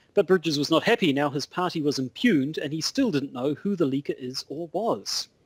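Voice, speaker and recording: A man with a New Zealand accent talks at a fairly quick pace with hardly any pauses, his pitch fairly high and his intonation lively, in a dry, close sound with no echo. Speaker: podcast co-host. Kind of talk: casual chat. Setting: Skype call.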